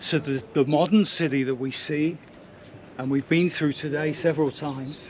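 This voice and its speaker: A man with fairly even intonation against noticeable background noise. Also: fairly high pitch for a man, moderate pace. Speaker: travel photojournalist and presenter. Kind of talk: travel documentary narration and interview. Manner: hushed, keeping quiet.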